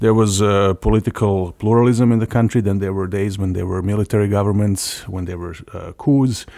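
A man with a Serbian accent talks at a fairly low pitch with ordinary pitch variation and a dark, mellow tone. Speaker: democracy NGO program director. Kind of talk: interview.

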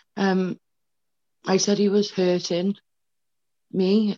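A woman's fairly low, dark and mellow voice in a dry, close sound with no echo. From Wales. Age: 30s. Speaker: abuse survivor. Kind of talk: testimony. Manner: halting.

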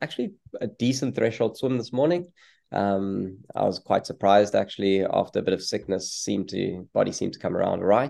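Over a quiet background, a man with a South African accent speaks at a moderate pace in a fairly low pitch, his tone dark and mellow. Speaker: professional triathlete. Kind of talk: interview. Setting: video call.

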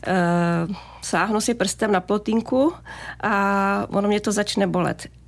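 A woman speaks at a medium pitch with vocal fry and fairly even intonation. The recording is very clean, with a silent background. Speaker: physician. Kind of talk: radio advice interview. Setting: radio studio.

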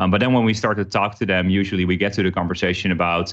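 A man with a Dutch accent and a very deep, low pitch, fairly even intonation, quiet background. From Netherlands. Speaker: workplace company executive. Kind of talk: casual interview. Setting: remote recording.

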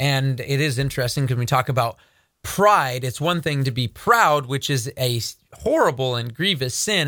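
A man speaks with a bright, sharp tone and ordinary pitch variation. The recording is very clean, with a silent background. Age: 30s. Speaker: news commentary host at a ministry. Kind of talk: commentary show with scripture reading.

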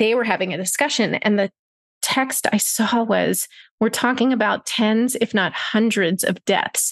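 In a normal speaking voice, a woman with a fairly high pitch talks at a fairly slow pace with ordinary pitch variation and very even loudness, in a dry, close sound with no echo. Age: 40s. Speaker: freelance writer and mother. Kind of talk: interview.

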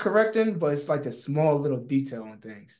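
With an American accent, a man speaks at a moderate pace in a fairly high voice with lively intonation. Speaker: fitness trainer. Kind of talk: casual interview.

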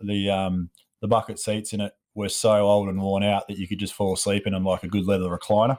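A man's fairly low voice in an Australian accent, very fast and with monotone, flat intonation. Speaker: podcast host, steel fabricator and sculptor. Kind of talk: solo monologue, casual storytelling. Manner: casual, hesitant with fillers.

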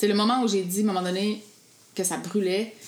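A woman with a Quebec accent at a medium pitch, flat and monotone, at a fairly quick pace. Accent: Québécois French. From Quebec, Gaspésie. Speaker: food blogger and mother. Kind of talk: casual interview.

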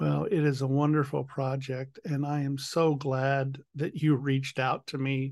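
Against a quiet background, a man speaks at a fairly slow pace with a fairly high pitch and fairly even intonation. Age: 60s. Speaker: podcast host. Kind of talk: interview conversation. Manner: emotional, voice cracking.

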